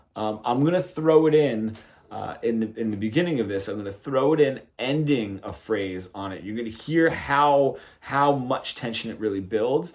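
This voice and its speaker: A man speaks in an unremarkable speaking voice at a medium pitch and moderate pace. His intonation is lively, with big swings in loudness. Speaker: guitar teacher. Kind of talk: tutorial.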